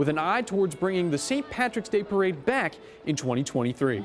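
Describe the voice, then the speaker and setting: A high-pitched man with an American accent, fairly quick and with very wide pitch swings, over music in the background. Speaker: television news anchor. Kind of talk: local TV news anchor read.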